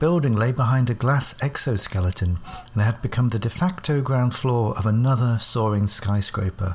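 The voice is a natural reading voice, with ordinary pitch variation.

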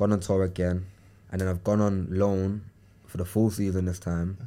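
A man talks at a moderate pace in a very deep, low, dark and mellow voice. His intonation is flat and monotone, and the recording is very clean with a silent background. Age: 20s. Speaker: professional footballer. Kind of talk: casual interview chat. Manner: casual, slangy, halting at times.

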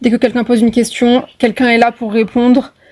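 Her voice has a dark, mellow tone and is somewhat breathy. The woman speaks at a fairly quick pace. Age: 20s. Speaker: medical student. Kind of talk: podcast interview.

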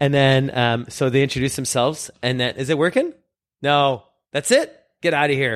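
At a moderate pace, a man speaks in a normal speaking voice with a fairly high pitch and fairly even intonation, on a very clean recording with a silent background. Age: 40s. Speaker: magician, guest co-host. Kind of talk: casual chat.

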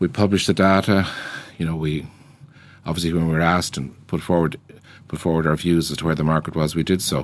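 A man with a Dublin accent speaks in a very deep, low voice at a very fast pace. His intonation is monotone and flat, broken by long, frequent pauses. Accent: Irish, Dublin. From Ireland, Dublin. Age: 60s. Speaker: business founder. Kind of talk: interview. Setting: studio.

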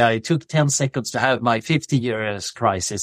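A man with a Swedish accent speaks at a fairly slow pace with lively intonation, the sound dry and close with no echo and the recording very clean over a silent background. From Sweden. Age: 50s. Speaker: philosopher and researcher. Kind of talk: podcast interview.

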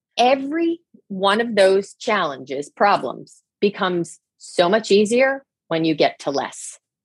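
A woman with an American accent speaks at a medium pitch and a fairly slow pace, her voice making very wide pitch swings. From New Jersey. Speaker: leadership coach. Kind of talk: interview chat.

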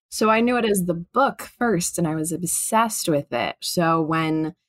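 A woman with an American accent and an unremarkable speaking voice talks at a fairly slow pace, her fairly low pitch carrying lively intonation on a very clean recording with a silent background and a dry, close sound with no echo. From Chicago, US Midwest. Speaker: actress. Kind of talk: casual chat.

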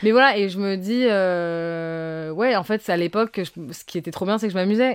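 A woman is talking here. Her intonation moves in a lively way. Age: 20s. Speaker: upcycling fashion brand founder. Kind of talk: casual chat.

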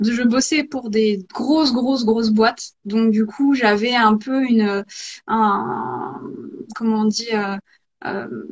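A woman speaks at a very slow pace. Her pitch is fairly high, with ordinary variation. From rural France. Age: 30s. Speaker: ceramicist and pottery teacher. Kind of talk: live interview. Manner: hesitant.

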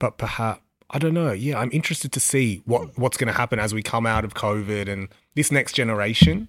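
With an Australian accent, a man at medium pitch talks at a fairly quick pace and uses ordinary pitch variation. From Western Sydney, Australia. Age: 30s. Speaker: record label founder. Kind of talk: interview. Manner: casual, filler-heavy.

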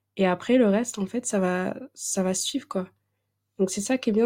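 The woman has a medium pitch and a dark, mellow tone on a very clean recording with a silent background. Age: 20s. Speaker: podcast host. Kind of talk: casual chat.

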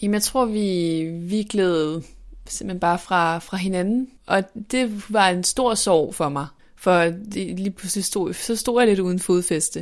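Very slow delivery with ordinary pitch variation. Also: woman, medium pitch for a woman. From northern Denmark. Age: 20s. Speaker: journalism student and author. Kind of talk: personal testimony interview. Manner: halting, many repetitions and fillers.

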